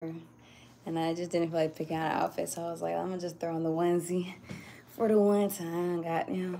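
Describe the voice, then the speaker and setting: In a dark, mellow tone, a woman speaks with fairly low pitch at a moderate pace, her intonation monotone and flat. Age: 20s. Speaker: spiritual tarot reader. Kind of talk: spiritual reading livestream.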